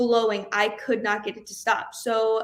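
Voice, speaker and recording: A woman with a Southern accent speaks at a fairly high pitch. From US South, Jasper, Georgia. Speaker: country singer-songwriter. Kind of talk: podcast interview.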